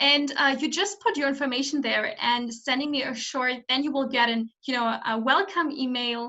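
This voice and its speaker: This woman has a German accent and a high pitch. She talks at a moderate pace with ordinary pitch variation. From Germany. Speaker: summit host, coach. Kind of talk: interview. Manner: halting.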